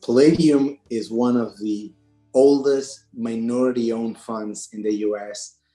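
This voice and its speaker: With an Argentine accent, a man speaks at medium pitch in a dark, mellow tone with fairly even intonation. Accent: Argentine (jokingly called Brooklyn). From Argentina. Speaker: private equity partner. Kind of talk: interview podcast.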